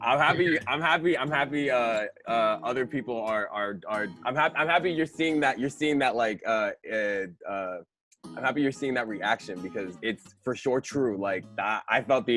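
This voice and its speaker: With music in the background, a man talks at a moderate pace with lively intonation. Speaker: interviewer. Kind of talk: casual chat. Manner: halting, repeats words.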